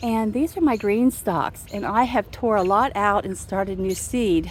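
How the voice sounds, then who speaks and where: A woman talks in a relaxed tone at a fairly slow pace, her pitch medium with ordinary variation. Noticeable background noise sits behind her. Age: 60s. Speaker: home gardener vlogger. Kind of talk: casual garden tour video. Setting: outdoors in garden. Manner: relaxed conversational.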